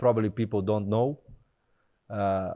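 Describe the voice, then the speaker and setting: A man with a Portuguese accent and a monotone, flat intonation. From Brazil. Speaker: retired footballer. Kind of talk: casual interview. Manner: halting.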